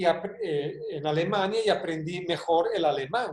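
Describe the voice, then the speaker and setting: Here a man speaks in a high pitch. His pace is fairly slow. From Spain, with Hungarian family. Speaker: consultant and professor. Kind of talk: video call talk.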